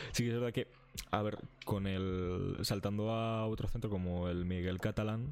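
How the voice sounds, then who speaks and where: Speaking at a fairly slow pace, a man has an ordinary speaking voice with a fairly low pitch. His intonation is fairly even, and his loudness stays very even. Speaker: university student. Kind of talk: casual chat.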